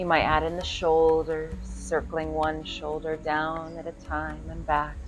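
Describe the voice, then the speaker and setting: Soft-spoken and calm with a gentle tone, a woman talks at a fairly slow pace over background music, with audible room echo. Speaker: yoga teacher. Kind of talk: guided yoga class. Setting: at home by her pool. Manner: calm, gentle.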